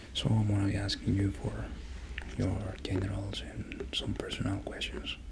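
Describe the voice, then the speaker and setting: A man speaks softly at a moderate pace. Noticeable background noise runs beneath his voice. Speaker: doctor in roleplay. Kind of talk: ASMR medical roleplay. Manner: soft-spoken.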